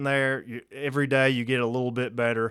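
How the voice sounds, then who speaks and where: A man talks at a fairly quick speed. The recording is very clean, and the background is silent. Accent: Kentucky. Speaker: podcast host and field trial competitor. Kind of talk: casual interview.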